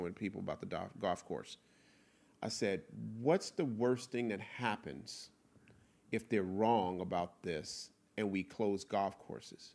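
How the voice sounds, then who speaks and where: In a very clean recording with a silent background, a man with a normal speaking voice and fairly low pitch talks at a fairly slow pace with ordinary pitch variation. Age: middle-aged. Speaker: podcast co-host. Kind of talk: casual chat.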